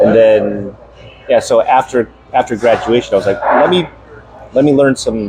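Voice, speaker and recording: A man is speaking. Music plays in the background. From US, moved from Taiwan as infant. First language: Taiwanese. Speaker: program alumnus. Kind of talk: casual chat. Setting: at a friend's home.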